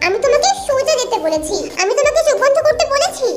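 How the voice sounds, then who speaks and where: A woman's squeaky, put-on character voice with music in the background. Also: moderate pace. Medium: read story. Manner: curt, commanding.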